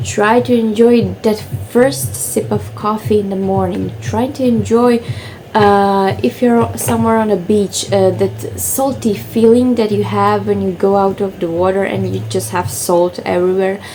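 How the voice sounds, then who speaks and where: With a Croatian accent, a woman speaks at a fairly slow pace. Background noise is noticeable. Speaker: lifestyle vlogger. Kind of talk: casual vlog talk to camera. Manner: hesitant, many fillers.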